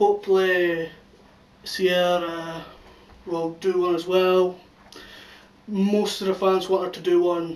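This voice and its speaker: Very slowly and with long, frequent pauses, a man with a Scottish accent speaks in a high, monotone, flat voice against noticeable background noise. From Scotland. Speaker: YouTube channel reviewer. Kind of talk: casual video review.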